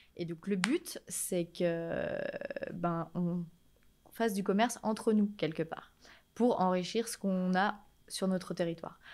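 A woman at a medium pitch, very slow, with fairly even intonation and long, frequent pauses. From France, Rhône-Alpes (Villefontaine, Annemasse); Rhône-Alpes. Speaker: shop owner, entrepreneur; guest. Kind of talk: interview. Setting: in her shop. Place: shop. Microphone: studio mic.

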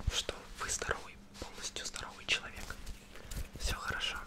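A man whispering at a moderate pace. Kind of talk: ASMR roleplay. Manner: soft close-mic ASMR doctor voice. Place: home room. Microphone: studio mic.

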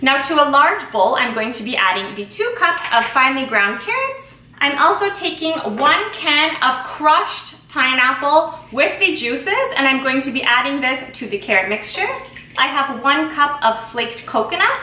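Raising and projecting her voice, a woman speaks at a moderate pace with audible room echo. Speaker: home baker host. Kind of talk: tutorial. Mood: cheerful, friendly. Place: kitchen.

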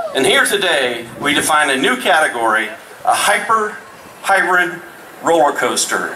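Very wide pitch swings stand out over noticeable background noise. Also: man, high pitch for a man, moderate pace. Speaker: roller coaster designer. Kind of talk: live event speech. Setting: outdoor stage with audience. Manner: animated.

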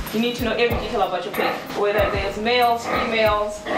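Music plays in the background as a woman speaks at a fairly quick pace. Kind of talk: explanatory farm tour talk. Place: farm. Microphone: camera far.

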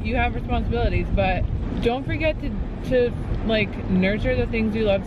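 Loud background noise behind a dry sound with no echo. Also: woman. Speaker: vlogger. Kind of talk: casual vlog chat. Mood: earnest, reflective. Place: car. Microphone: phone near.

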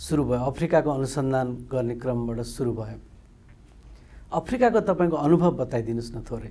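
This man has a dark, mellow tone and ordinary pitch variation. He talks at a very slow pace with hardly any pauses. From Nepal. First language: Nepali (speaking Hindi). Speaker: TV interviewer. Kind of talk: formal programme presentation; interview. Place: studio. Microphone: lapel.

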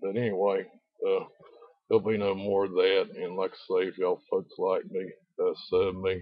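A man talks at a moderate pace with a North Carolina accent. The background is quiet, and the sound is dry with no echo. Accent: Southern US (North Carolina). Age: old. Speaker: video blogger. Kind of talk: casual vlog monologue. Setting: outdoors. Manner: rambling, many fillers. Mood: defiant, offhand. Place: open country. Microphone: phone near.

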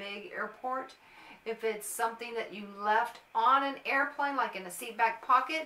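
A woman speaks at a moderate pace. Audible room echo surrounds her voice. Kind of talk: informational vlog talk. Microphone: phone near.

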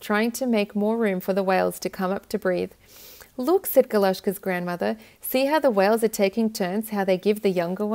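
The clip is read in a natural reading voice.

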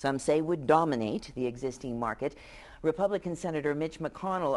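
At a moderate pace, a woman talks in a very deep, low pitch. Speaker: public TV talk show host. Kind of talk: TV panel discussion moderation. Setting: TV studio. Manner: formal. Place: studio.

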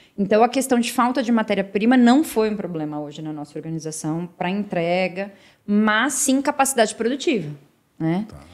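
Over a quiet background, a woman speaks at a fairly quick pace in a fairly high voice with very wide pitch swings. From Brazil, São Paulo state (Santo André, then Campinas); São Paulo state, Brazil. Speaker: sales and marketing executive; sales. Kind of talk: interview. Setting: studio. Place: office. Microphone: studio mic.

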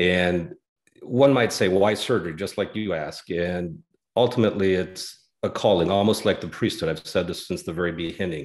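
Against a quiet background, a man with an American accent talks at a very deep, low pitch and a moderate pace, with ordinary pitch variation. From Denver, Colorado. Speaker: general surgeon; guest. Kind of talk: interview explanation. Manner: halting, frequent uh fillers. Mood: calm, explanatory. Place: home room. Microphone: earbuds.

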